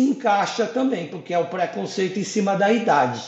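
Over noticeable background noise, a man speaks at a high pitch with lively intonation. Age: 50s. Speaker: sales coordinator. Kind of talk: interview.

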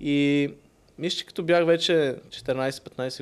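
On a very clean recording with a silent background, a man speaks in a normal speaking voice, fairly high in pitch with ordinary pitch variation. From Bulgaria (Sofia and Varna). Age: 20s. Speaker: tech entrepreneur. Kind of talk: casual interview.

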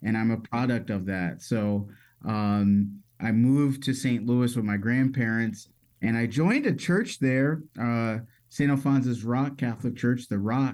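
A man with a normal speaking voice and an American accent talks at a fairly slow pace. His medium pitch shows ordinary pitch variation, on a very clean recording with a silent background. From Metro Detroit, Michigan. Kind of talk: casual interview.

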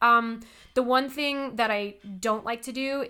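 On a very clean recording with a silent background, a woman with a Californian accent speaks fairly slowly in a bright, sharp tone with fairly even intonation. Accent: Californian American English. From California, Inland Empire. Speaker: theater director and performer. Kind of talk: casual interview chat.

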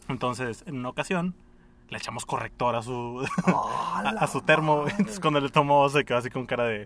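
A man's plain, everyday voice, fairly high in pitch, with lively intonation at a fairly quick pace. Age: 20s. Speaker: podcast co-host. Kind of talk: casual chat. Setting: recording in a parking garage.

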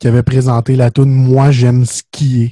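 Over a fairly slow pace, a man speaks at medium pitch with a dark, mellow tone and monotone, flat intonation. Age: 20s. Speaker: podcast host. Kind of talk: casual chat.

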